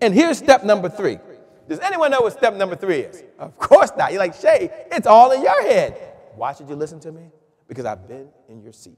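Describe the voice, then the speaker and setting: Big swings in loudness, an animated tone and a fairly quick pace. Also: man. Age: 40s. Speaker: sales trainer. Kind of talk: webinar presentation.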